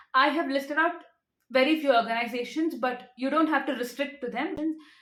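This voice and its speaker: Audible room echo surrounds a woman whose high pitch shows ordinary variation. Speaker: rare disease advocate. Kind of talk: awareness talk to camera. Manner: fast.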